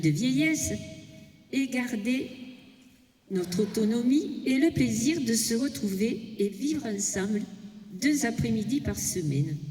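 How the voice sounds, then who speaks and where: Very slowly and at a fairly high pitch, a woman speaks with very wide pitch swings amid audible room echo. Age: 80s+. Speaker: senior fitness participant. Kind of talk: prepared speech. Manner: reading from notes.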